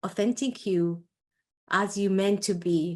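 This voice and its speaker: Against a quiet background, a woman with an Iraqi accent speaks very slowly at a medium pitch in a passionate tone. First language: Arabic. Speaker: entrepreneur and coach. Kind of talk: interview. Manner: halting.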